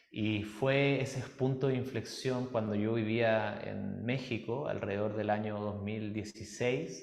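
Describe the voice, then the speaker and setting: Hardly any pauses break up delivery that moves at a very slow pace. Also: man, medium pitch for a man, fairly even intonation. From Chile. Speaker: musician and personal development workshop leader. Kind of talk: podcast interview.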